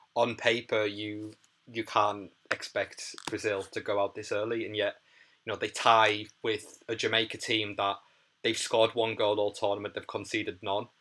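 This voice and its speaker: A man speaks with a Teesside accent. His pace is moderate. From northern England, Middlesbrough. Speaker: athlete, artist and activist. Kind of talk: casual chat. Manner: halting, many fillers.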